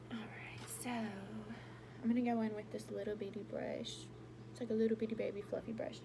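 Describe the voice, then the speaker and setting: With audible room echo and noticeable background noise around her, the woman speaks at a moderate pace. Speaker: beauty vlogger. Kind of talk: makeup tutorial.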